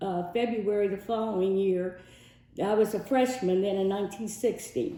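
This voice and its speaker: Audible room echo surrounds a woman speaking at a moderate pace. Her medium pitch shows ordinary variation. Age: 70s. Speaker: civil rights veteran. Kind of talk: testimony.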